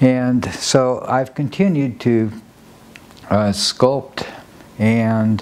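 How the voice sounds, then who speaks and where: A man with an American accent speaks at a medium pitch with fairly even intonation. Noticeable background noise is present. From Nebraska. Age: 80s+. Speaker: sculptor and dancer. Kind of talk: documentary interview. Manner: halting.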